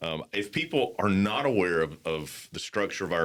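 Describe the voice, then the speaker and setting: The recording is very clean, and the background is silent. A man talks at a moderate speed. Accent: slight Southern US. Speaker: podcast host. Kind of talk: casual interview.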